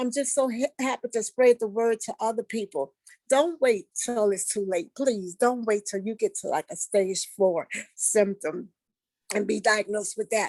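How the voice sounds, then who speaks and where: In a New Orleans accent, a woman talks at a moderate pace in a fairly high pitch with ordinary pitch variation. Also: dry, close sound with no echo. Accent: New Orleans Southern US. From US South, New Orleans, Louisiana. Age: 60s. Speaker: patient giving testimonial. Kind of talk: testimony. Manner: halting, with fillers.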